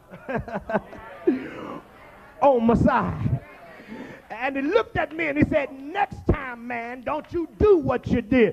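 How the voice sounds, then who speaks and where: Extremely high in pitch, a man talks at a very slow pace with lively intonation and long, frequent pauses. Noticeable background noise runs underneath. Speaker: pastor. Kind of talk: sermon.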